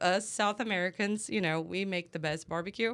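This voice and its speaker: Recorded very cleanly against a silent background, a woman with a Portuguese accent speaks with fairly even intonation. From Brazil. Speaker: head brewer. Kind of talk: casual chat.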